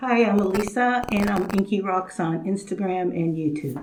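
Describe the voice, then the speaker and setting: Soft-spoken, a woman talks at a moderate pace and medium pitch with ordinary pitch variation. Noticeable background noise is present. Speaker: social media video creator. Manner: quiet, soft-spoken on microphone.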